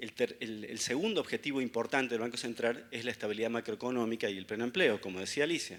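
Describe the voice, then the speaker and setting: Fairly quick and with ordinary pitch variation, a man talks at a medium pitch with a Córdoba accent on a very clean recording with a silent background. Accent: Argentine Córdoba. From Argentina, Córdoba. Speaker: economist speaker. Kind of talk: conference talk.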